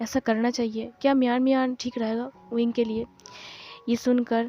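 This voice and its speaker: A woman speaks with a high pitch. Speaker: fanfiction story explainer. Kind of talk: story retelling. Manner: casual.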